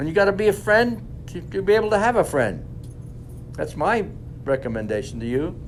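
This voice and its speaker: A man talks fairly quickly in a fairly high voice with very wide pitch swings. Long, frequent pauses break his speech, and background noise is noticeable. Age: 90s. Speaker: war veteran. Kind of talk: talk to students.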